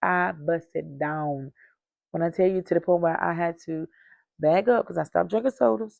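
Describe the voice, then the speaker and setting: With long, frequent pauses at a moderate pace, a woman talks in an animated tone, her fairly low pitch showing ordinary variation. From North Carolina. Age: 30s. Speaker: lifestyle vlogger. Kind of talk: casual chat. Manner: frequent filler ums.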